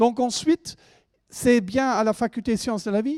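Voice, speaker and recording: A man keeps a moderate pace on a very clean recording with a silent background. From Germany. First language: German (speaking French). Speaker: university lecturer. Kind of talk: presentation to students. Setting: lecture hall with audience. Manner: hesitant, with fillers.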